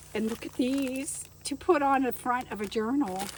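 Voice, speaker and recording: A woman talks very slowly against noticeable background noise. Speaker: junk journal crafter and vlogger. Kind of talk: casual show-and-tell haul video. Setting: in her car trunk by the garage. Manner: animated.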